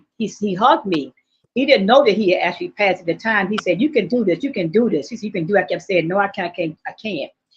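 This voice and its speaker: This woman talks very fast with a lively, bouncing intonation. Her voice is somewhat breathy and sits at a medium pitch. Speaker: actress. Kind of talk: interview. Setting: live stream.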